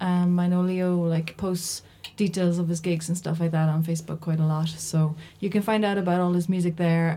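This woman speaks with a Cork accent and a fairly low pitch. Her pace is fairly quick. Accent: Cork Irish. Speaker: community radio host. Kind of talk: casual radio chat. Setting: studio.

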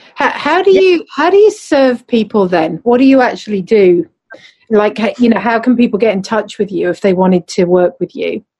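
Speaking with a southern English accent, a woman has a dark, mellow, somewhat breathy tone and a fairly high pitch with very wide pitch swings. She talks at a moderate pace, and the sound is dry and close, with no echo. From southern England, Surrey. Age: 50s. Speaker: podcast co-host and embodiment coach. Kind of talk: casual chat.

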